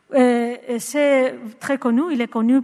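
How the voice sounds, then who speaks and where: With a Spanish accent, a woman speaks at a very slow pace. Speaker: psychologist and researcher. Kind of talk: conference talk. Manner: halting, many hesitations.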